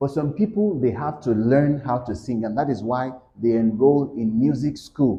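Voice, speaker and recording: A somewhat breathy man's voice with a Yoruba accent, medium in pitch, at a moderate pace, with audible room echo. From Nigeria, Yoruba. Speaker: English tutor. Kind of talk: lecture. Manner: halting.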